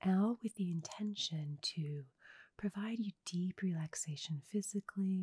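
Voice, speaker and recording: Soft-spoken and at a fairly slow pace, the voice comes through with a dry sound with no echo against a quiet background. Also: woman. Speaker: sound healer. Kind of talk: sound healing guided meditation talk. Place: home room. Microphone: studio mic.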